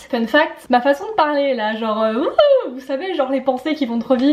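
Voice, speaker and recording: Animated and fairly quick, a woman with a high pitch and lively intonation speaks over noticeable background noise. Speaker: student vlogger. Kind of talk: casual vlog talk. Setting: at home in the evening. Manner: fast; animated, tripping over words.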